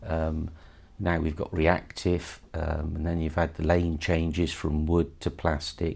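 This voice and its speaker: Monotone and flat, a man with a West Country accent speaks at a very deep, low pitch. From Somerset, south-west England. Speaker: bowling association chairman. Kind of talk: interview.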